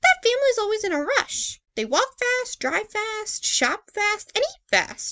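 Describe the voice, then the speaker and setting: A woman uses a squeaky, put-on character voice at an extremely high pitch. She goes at a fairly slow pace with hardly any pauses. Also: lively intonation. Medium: read story. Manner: brisk.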